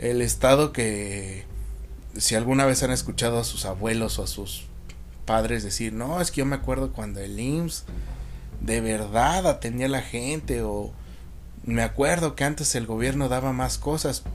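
Music sits in the background and audible room echo surrounds a man speaking at a fairly slow pace. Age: 20s. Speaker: podcast host. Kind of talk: solo monologue podcast.

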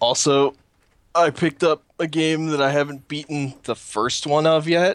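An unremarkable speaking voice from a man, fairly high in pitch, with fairly even intonation at a moderate pace, in a dry, close sound with no echo. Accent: American. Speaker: gaming podcast co-host. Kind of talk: casual chat.

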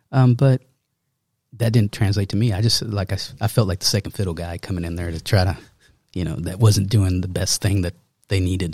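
This man has a fairly low, somewhat breathy voice with a dark, mellow tone and an American accent. He talks at a fairly quick pace with ordinary pitch variation, and the sound is dry and close with no echo. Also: very clean recording, silent background. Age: 40s. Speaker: magician and artist. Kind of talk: casual chat.

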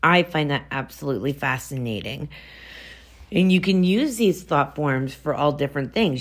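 A woman talks at a very deep, low pitch with ordinary pitch variation. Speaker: podcast host on mythology and folklore. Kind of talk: solo monologue podcast. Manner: casual, with frequent fillers.

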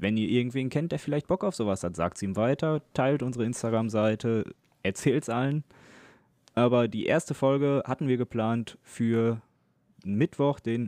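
This man has a dark, mellow tone at a medium pitch, with ordinary pitch variation and a moderate pace. The sound is dry and close, with no echo. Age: 20s. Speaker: podcast co-host, electrician. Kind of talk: casual chat. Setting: recording over Discord from home.

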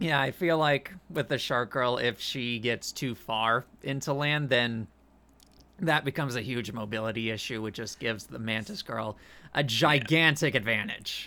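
On a very clean recording with a silent background, a man speaks at a moderate pace in a bright, sharp tone with ordinary pitch variation. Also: medium pitch for a man. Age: 20s. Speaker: podcast co-host. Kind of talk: casual chat.

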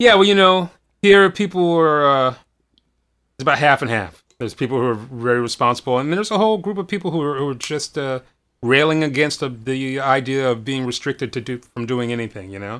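This man has an ordinary speaking voice at medium pitch. His intonation is lively. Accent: American. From US East Coast, Washington DC / Baltimore area. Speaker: bass player. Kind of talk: casual chat. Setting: video call.

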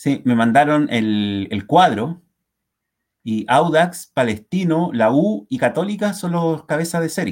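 At a very slow pace, a man with a fairly high pitch speaks in very wide pitch swings. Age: 40s. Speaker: football fan podcast co-host. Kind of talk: casual chat. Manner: animated.

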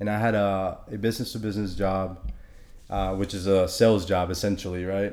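A man speaks at a fairly quick pace with a fairly low pitch and a monotone, flat intonation, and there is audible room echo. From Honduras. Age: 20s. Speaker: fitness trainer. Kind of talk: casual interview.

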